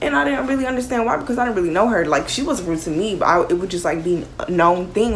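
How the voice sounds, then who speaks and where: Amid audible room echo and noticeable background noise, a woman talks at a fairly quick pace with lively intonation. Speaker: YouTuber. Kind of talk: storytime vlog. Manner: loud; animated.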